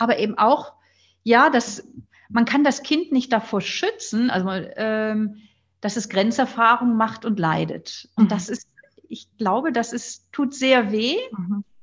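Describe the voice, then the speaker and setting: Her voice fairly high, a woman speaks at a very slow pace with long, frequent pauses. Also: ordinary pitch variation. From northern Germany, near Flensburg. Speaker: nun, author and philosopher. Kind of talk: interview, reflective conversation.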